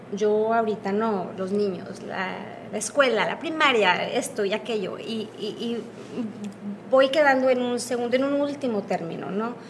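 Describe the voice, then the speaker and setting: Audible room echo and noticeable background noise surround this recording. A woman speaks at a fairly slow pace in a fairly high pitch with ordinary pitch variation. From northern Mexico, Piedras Negras, Coahuila. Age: 40s. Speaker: former bariatric surgery patient. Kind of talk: interview.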